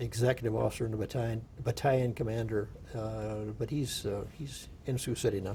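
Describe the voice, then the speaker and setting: Somewhat breathy man with a Midwestern US accent, a dark, mellow tone, and fairly even intonation. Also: medium pitch for a man, fairly quick pace. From rural Iowa. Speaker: war veteran. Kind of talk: oral history interview. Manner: halting.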